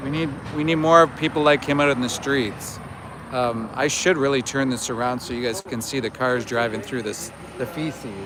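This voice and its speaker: Noticeable background noise sits behind a man speaking at medium pitch and a moderate pace, with ordinary pitch variation. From Canada. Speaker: animal rights activist livestreamer. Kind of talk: live outdoor vigil stream. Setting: outdoors outside a slaughterhouse.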